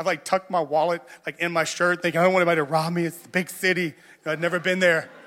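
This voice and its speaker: A man's high-pitched, bright, sharp voice at a very fast pace, monotone and flat in intonation, with big swings in loudness, on a very clean recording with a silent background. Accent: American. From US South. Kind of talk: sermon. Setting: church.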